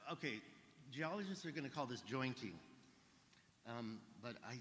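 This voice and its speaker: A medium-pitched man's voice, bright and sharp in tone, with ordinary pitch variation and audible room echo. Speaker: alternative history researcher. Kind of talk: conference presentation. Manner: fast.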